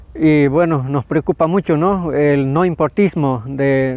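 A man's fairly high voice with fairly even intonation, dry and without echo. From Bolivia, Tarija department; Bolivia. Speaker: farmer and nature defender. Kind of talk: testimony statement to camera; interview statement to camera. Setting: at the UN headquarters in Geneva. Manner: halting, with frequent fillers. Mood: earnest, concerned. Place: garden. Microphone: lapel.

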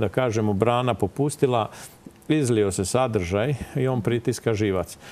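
A man speaks at a moderate pace in a dark, mellow tone. His pitch varies in an ordinary way. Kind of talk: interview answer. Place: studio. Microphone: lapel.

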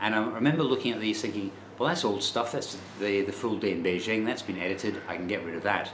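A man speaks at a fairly quick pace in a fairly low pitch. Light background noise and audible room echo are present. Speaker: travel vlogger. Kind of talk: casual vlog chat. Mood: rueful, disappointed. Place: home room. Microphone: phone near.

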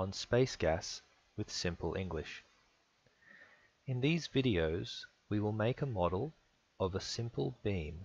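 Somewhat breathy, a man's fairly low voice moves slowly with very wide pitch swings over a quiet background. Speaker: engineering software instructor. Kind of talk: tutorial. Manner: clear simple phrasing.

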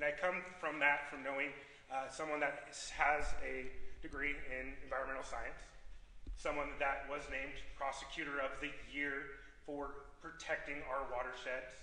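In a room with audible echo, a man speaks at a moderate pace in a monotone, flat intonation, with long, frequent pauses. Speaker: public candidate. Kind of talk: debate answer. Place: hall. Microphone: camera far.

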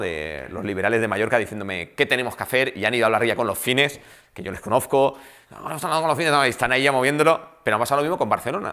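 Against a quiet background, a man speaks in a bright, sharp tone. His pitch swings very widely. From Spain (Balearic Islands), half French; Spain. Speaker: film director. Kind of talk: panel talk. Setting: room with live audience, recorded. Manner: animated. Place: meeting room.

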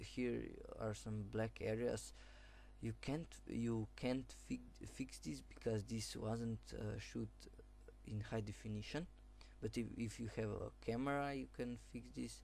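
A man speaks very slowly in a very deep, low voice with a dark, mellow tone. It is somewhat breathy and swings very widely in pitch. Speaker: software tutorial maker. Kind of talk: screen-recorded software tutorial. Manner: hesitant, many fillers.

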